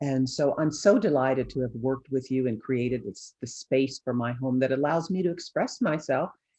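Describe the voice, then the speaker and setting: This woman has a very deep, low voice with a dark, mellow tone. She keeps a moderate pace and ordinary pitch variation. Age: 60s. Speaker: image consultant. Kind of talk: interview. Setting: video call.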